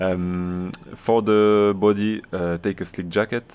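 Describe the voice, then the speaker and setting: A man with a French accent. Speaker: video game streamer. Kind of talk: gameplay tutorial. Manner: halting.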